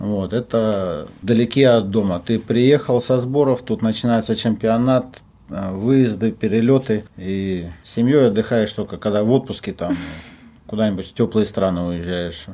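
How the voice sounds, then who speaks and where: A man's medium-pitched voice with a dark, mellow tone, a fairly slow pace and ordinary pitch variation. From Russia, Omsk. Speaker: football coach, former professional player. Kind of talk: interview.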